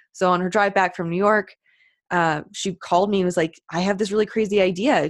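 In a plain, everyday voice, a woman of medium pitch talks at a moderate pace against a quiet background. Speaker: business owner and coach. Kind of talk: casual interview chat.

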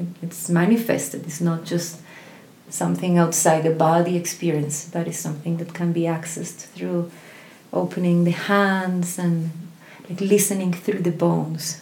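A woman speaks at a fairly low pitch and moderate pace, her tone dark and mellow and somewhat breathy. Her intonation is monotone and flat, and audible room echo surrounds her. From Colombia. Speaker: voice teacher and singer. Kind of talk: casual interview chat.

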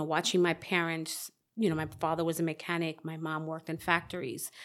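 Very clean recording with a silent background of a woman with a normal speaking voice and an American accent, fairly low in pitch, at a fairly quick pace. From US Northeast (South Bronx, New York). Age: 40s. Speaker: author. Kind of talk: casual interview.

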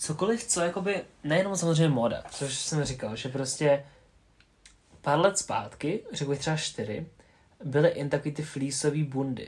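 A man speaks at a fairly high pitch and moderate pace, somewhat breathy. His pitch varies in an ordinary way. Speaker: podcast co-host. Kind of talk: casual chat.

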